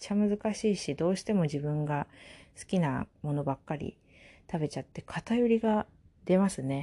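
A woman talks at a fairly low pitch and moderate pace, with very wide pitch swings. Her tone is dark, mellow and somewhat breathy against a quiet background. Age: 20s. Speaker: podcast host. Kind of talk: casual solo talk. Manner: casual with frequent fillers and laughs.

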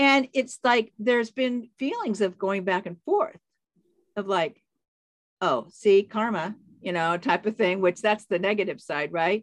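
The voice is an unremarkable speaking voice with lively intonation, at a moderate pace. The sound is dry and close, with no echo. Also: woman. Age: 60s. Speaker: life coach and author. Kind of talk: casual interview chat. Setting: remote call.

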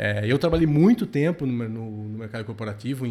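A plain, everyday voice from a man, medium in pitch, at a fairly quick pace. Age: 40s. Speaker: productivity podcast host. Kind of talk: casual chat.

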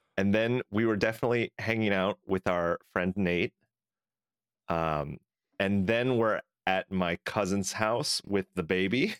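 Over a very clean recording with a silent background, a man talks in an unremarkable speaking voice. His pitch is fairly low, his loudness very even and his pace fairly slow. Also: ordinary pitch variation, dry, close sound with no echo. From California. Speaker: podcast co-host. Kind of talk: casual chat.

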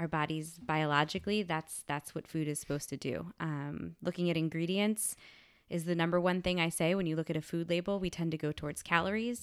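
At a fairly quick pace, a woman with a normal speaking voice talks at a fairly low pitch with fairly even intonation. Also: very clean recording, silent background. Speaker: science teacher; middle school teacher and wellness instructor. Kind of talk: casual interview.

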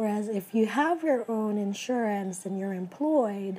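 Fairly slow, somewhat breathy speech from a woman, fairly high in pitch and ordinary in its pitch movement. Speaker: podcast host, nurse practitioner student. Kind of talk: solo podcast monologue. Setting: home recording.

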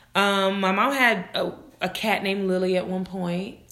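Loud and animated, a woman speaks at a fairly slow pace with a medium pitch and a bright, sharp tone. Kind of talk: casual chat. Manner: loud, animated.

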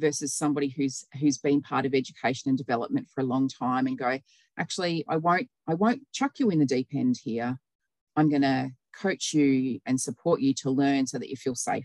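A woman's very deep, low voice with an Australian accent, fairly quick, with ordinary pitch variation and a dry, close sound with no echo. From New South Wales, Australia. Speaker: nurse and health operations manager. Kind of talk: casual interview chat.

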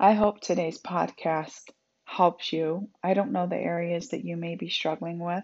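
A woman has a plain, everyday voice at a fairly low pitch. She speaks at a fairly slow pace with fairly even intonation. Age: 40s. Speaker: podcast host, motivational speaker and author. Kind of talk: solo faith-based self-help talk. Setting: home office.

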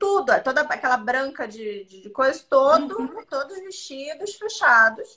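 Raised and projected, a woman's bright, sharp voice sits high in pitch, swings very widely, and moves at a fairly slow pace. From Santa Catarina, southern Brazil. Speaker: podcast co-host. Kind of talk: casual chat. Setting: live stream.

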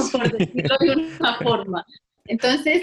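A woman's high voice carries lively intonation at a moderate pace. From Colombia, Valle del Cauca (Buga). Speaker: physiotherapist and researcher. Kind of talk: interview.

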